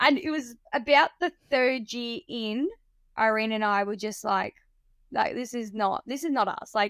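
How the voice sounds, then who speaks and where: Speaking at a fairly slow pace with an Australian accent, a woman uses a high pitch and lively intonation in a dry, close sound with no echo. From South Australia, rural Riverland. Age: 20s. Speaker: drift car driver. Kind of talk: casual chat.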